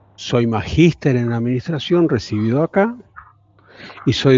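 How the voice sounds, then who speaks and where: A man with a plain, everyday voice talks at a moderate pace with lively intonation. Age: 60s. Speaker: university professor. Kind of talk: lecture. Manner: informal, conversational.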